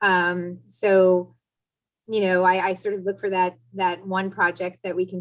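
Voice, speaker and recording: An unremarkable speaking voice from a woman with an American accent, medium-pitched, at a moderate pace. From US East Coast. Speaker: marketing executive. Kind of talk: panel discussion. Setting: video call.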